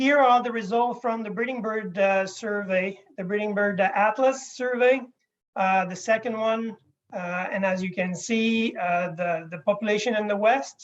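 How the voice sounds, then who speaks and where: The speaker talks at a moderate pace with fairly even intonation in a Quebec accent. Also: man, high pitch for a man. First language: French. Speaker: wildlife scientist. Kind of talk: conference presentation. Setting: video call. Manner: halting.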